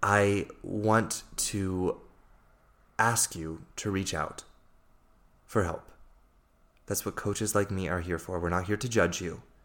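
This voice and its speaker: A man with an American accent speaks at a fairly low pitch. The recording is very clean, the background silent. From USA. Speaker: life coach. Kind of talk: solo podcast monologue.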